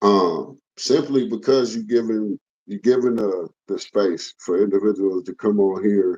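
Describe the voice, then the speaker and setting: This man is heard with a dry, close sound and no echo at all. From Los Angeles, Hoover Street area. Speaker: former gang member. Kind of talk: interview.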